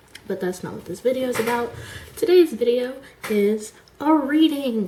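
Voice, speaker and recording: Her speech has ordinary pitch variation, set against noticeable background noise. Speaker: amateur fiction writer. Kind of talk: casual talk to camera. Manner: stuttering.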